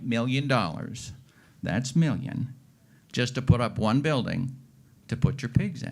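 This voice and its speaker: A man talks at a moderate pace. His is a normal speaking voice at a medium pitch. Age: 60s. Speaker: farmer. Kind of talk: panel discussion.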